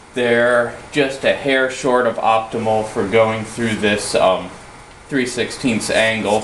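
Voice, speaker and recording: Amid noticeable background noise, a man speaks fairly slowly at a medium pitch with fairly even intonation. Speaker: metalworker. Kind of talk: casual workshop tutorial to camera. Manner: hesitant, halting.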